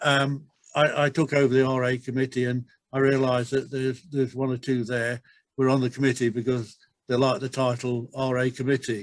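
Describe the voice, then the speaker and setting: A man speaks with an English accent at a fairly quick pace. His medium-pitched voice is monotone and flat. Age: 70s. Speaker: retirement village resident. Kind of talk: webinar discussion. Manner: halting, many repeated words.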